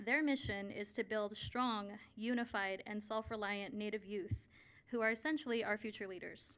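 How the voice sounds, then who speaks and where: A woman with a plain, everyday voice speaks at a fairly high pitch and a moderate pace with fairly even intonation. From Navajo Nation, Arizona. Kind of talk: formal address at board meeting. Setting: school board meeting. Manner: formal.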